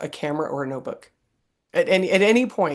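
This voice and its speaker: Against a quiet background, a woman uses an ordinary speaking voice at a fairly low pitch and a fairly quick pace. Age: 50s. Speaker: podcast host. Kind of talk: interview.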